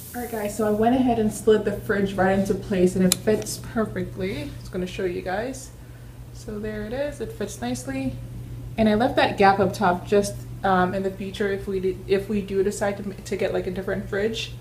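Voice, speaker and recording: A woman's voice at a moderate pace, over light background noise. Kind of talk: casual vlog tutorial. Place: kitchen. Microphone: phone near.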